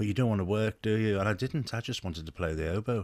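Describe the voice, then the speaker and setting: Recorded very cleanly against a silent background, a man with a slight Liverpool accent speaks at a fairly low pitch. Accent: slight Liverpool burr. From England, Liverpool. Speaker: former oboe player. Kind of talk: radio interview. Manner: halting.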